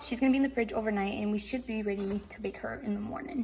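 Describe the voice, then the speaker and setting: Noticeable background noise sits behind a woman who talks very fast in a fairly high pitch with ordinary pitch variation. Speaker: home baking vlogger. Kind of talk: casual tutorial.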